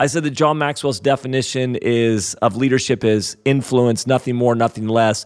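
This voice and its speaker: A plain, everyday voice moves at a moderate pace with fairly even intonation and very even loudness. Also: man, medium pitch for a man. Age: 40s. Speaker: podcast host. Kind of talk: casual interview chat.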